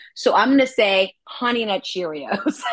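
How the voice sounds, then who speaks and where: Over a quiet background, a woman with an American accent and an unremarkable speaking voice talks at a fairly slow pace with lively intonation. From New York City, Manhattan. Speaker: actress and voice actress. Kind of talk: interview.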